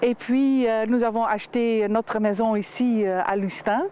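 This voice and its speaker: With noticeable background noise, the speaker talks at a fairly slow pace with a slight Dutch accent. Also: woman. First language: Dutch (speaking French). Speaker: winemaker. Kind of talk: TV interview. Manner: halting, many hesitations.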